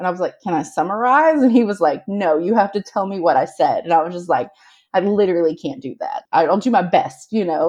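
Speaking in a normal speaking voice, a woman with a medium pitch goes at a fairly quick pace with lively intonation. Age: 40s. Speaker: mother with ADHD and OCD. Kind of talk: casual chat.

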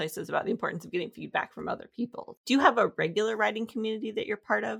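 In a dry, close recording with no echo, a woman sounds enthusiastic, her lively intonation edged with vocal fry. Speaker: podcast host. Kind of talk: interview.

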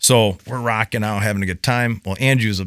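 In a normal speaking voice, a man with an American accent talks at a moderate pace and fairly low pitch with ordinary pitch variation, the sound dry and close with no echo on a very clean recording with a silent background. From US Midwest. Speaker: construction tradesman. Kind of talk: casual chat. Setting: in-person recording with microphones.

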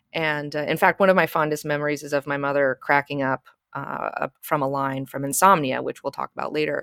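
Speaking at a fairly quick pace in an American accent, the voice stays monotone and flat, with a dry, close sound and no echo. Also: woman, very deep, low pitch for a woman. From US South (Alabama). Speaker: YouTube critic and tattoo artist. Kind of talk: casual chat.

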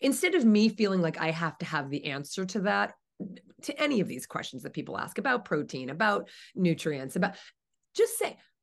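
Over a quiet background, a woman speaks with vocal fry and very wide pitch swings. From US East Coast, New Jersey. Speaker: vegan author and advocate. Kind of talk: interview conversation.

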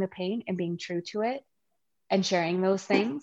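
In a western Canadian accent, a woman speaks at a medium pitch, the sound dry and close with no echo. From Canada. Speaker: bereaved mother and grief support founder. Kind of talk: interview testimony. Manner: chatty.

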